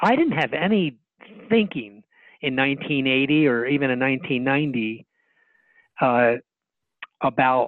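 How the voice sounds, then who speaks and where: Speaking with an American accent, a man talks at a very slow pace with very even loudness and long, frequent pauses. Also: medium pitch for a man, ordinary pitch variation. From New Jersey. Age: 60s. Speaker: dentist and speaker. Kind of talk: interview.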